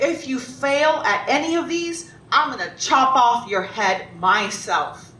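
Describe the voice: In a put-on character voice, a woman speaks slowly at a high pitch with a bright, sharp tone and ordinary pitch variation, with audible room echo.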